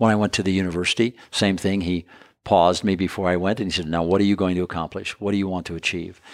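On a very clean recording with a silent background, a man with an American accent speaks very fast in a very deep, low voice with monotone, flat intonation. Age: 70s. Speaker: entrepreneur and former presidential advisor. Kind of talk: interview, reflective conversation. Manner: reflective, calm, measured.

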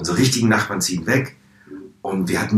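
This is a man's voice. It sounds somewhat breathy. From Hannover, northern Germany. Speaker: drag performer. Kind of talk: interview.

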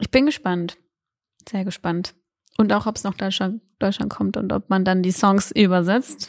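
A woman with an unremarkable speaking voice at a medium pitch, fairly slow and fairly even in intonation, in a dry, close sound with no echo. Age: 20s. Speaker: student radio podcast co-host. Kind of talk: casual chat.

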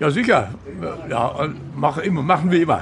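A man's fairly high-pitched voice with lively intonation at a very slow pace, amid noticeable background noise and audible room echo. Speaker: restaurant regular, local resident. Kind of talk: interview.

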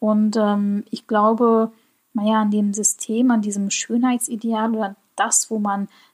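Somewhat breathy and fairly high-pitched, a woman speaks at a very slow pace, with a dry, close sound and no echo. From Germany. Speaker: podcast host. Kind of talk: solo podcast monologue.

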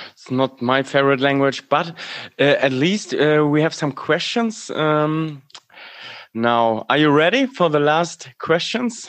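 A man with a German accent speaks at a fairly slow pace. His fairly high voice has lively intonation. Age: 30s. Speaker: podcast co-host. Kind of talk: casual chat.

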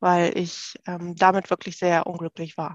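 Recorded with a dry, close sound and no echo, a woman speaks against a quiet background. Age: 30s. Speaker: working mother, course participant. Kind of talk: interview. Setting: phone call.

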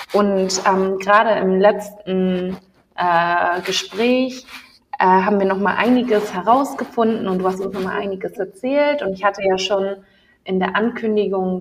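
A woman speaks in a plain, everyday voice at a medium pitch, with fairly even intonation. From Ghanaian diaspora in Germany. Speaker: podcast host. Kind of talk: interview.

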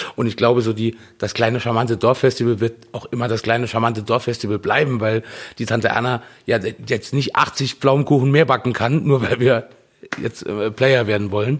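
Medium-pitched male voice at a moderate pace, with fairly even intonation. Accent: slight Saarland. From Saarland. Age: 40s. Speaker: punk band singer. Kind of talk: casual chat.

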